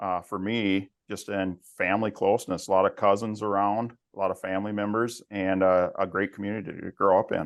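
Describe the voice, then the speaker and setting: A man with a Minnesotan accent speaks at a fairly low pitch. His intonation is monotone and flat, and his pace is moderate. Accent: Minnesota. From west central Minnesota. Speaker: family business executive. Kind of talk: interview.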